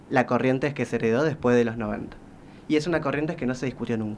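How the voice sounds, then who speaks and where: Here a man talks with ordinary pitch variation. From Corrientes, Argentina. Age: 20s. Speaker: social sciences researcher and author. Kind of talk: radio interview answer. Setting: studio.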